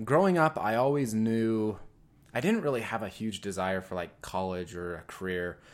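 The recording is very clean, with a silent background. A man with an unremarkable speaking voice at a medium pitch uses lively intonation. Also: big swings in loudness. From rural Utah. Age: 20s. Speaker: business owner. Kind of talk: casual interview.

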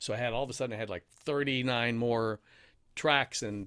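A man's medium-pitched, fairly even voice, a plain, everyday voice, on a very clean recording with a silent background. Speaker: radio host and voiceover artist. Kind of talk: casual interview chat, telling stories. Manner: radio-trained, polished, can switch to NPR tone.

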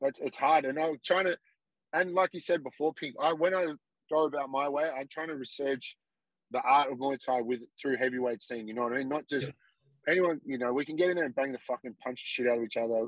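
This man has a fairly high voice with ordinary pitch variation and an Australian accent, recorded dry and close with no echo. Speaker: Muay Thai fighter. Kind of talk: casual chat. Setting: remote call from the roadside.

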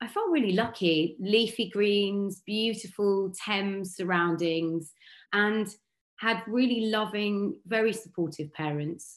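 In a southern English accent, a woman speaks very slowly at medium pitch with ordinary pitch variation, on a very clean recording with a silent background. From Berkshire, southern England. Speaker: radio and TV broadcaster. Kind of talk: interview.

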